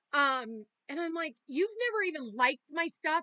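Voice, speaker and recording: A raised, projected voice with a bright, sharp tone moves at a moderate pace, with ordinary pitch variation. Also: woman. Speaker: tarot reader. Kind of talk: tarot reading. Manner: casual, swearing rants.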